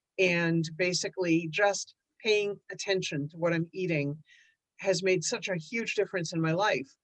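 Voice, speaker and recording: At a fairly slow pace, a woman talks in a plain, everyday voice. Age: 60s. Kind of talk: casual chat.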